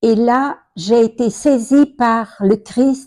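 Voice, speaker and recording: A woman's fairly high voice with a dark, mellow tone, ordinary pitch variation and a very slow pace. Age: 80s+. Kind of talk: testimony.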